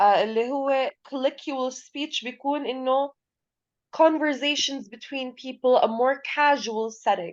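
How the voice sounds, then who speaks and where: A woman with a strong non-native accent speaks at a fairly slow pace with a high pitch. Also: ordinary pitch variation. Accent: heavy accent in English. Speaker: English teacher. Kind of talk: lecture. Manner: code-switching between Arabic and English.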